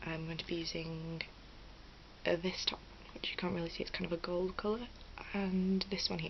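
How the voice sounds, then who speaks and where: A woman talks quietly with a British accent, her pitch fairly low and her intonation fairly even. Noticeable background noise runs under her voice. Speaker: beauty vlogger. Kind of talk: tutorial. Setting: at home. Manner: quiet, low volume; hesitant, many fillers.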